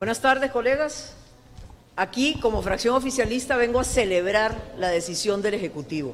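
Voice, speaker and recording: There is audible room echo around this woman. Her intonation is lively. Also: fairly high pitch for a woman, moderate pace. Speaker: legislator. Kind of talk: press statement. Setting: press conference.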